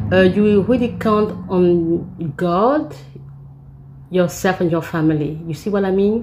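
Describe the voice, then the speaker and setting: A woman's somewhat breathy voice with a fairly low pitch, a dark mellow tone, ordinary pitch variation and a moderate pace. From Africa. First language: not English. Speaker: vlogger. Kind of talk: story time. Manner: halting, many fillers and repeats.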